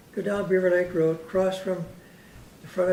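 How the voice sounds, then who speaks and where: A man with a Canadian accent talks at a moderate pace in a monotone, flat way. Noticeable background noise and audible room echo fill the recording. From Canada, Vancouver Island (Saanich area). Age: 80s+. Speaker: local elder speaking on community history. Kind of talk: informal talk to a local audience. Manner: rambling, hesitant.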